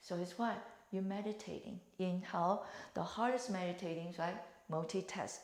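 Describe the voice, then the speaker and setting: A woman's calm, medium-pitched voice at a moderate pace with fairly even intonation and audible room echo. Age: 60s. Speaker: fitness instructor. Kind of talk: exercise tutorial. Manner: calm, instructive with breathing cues.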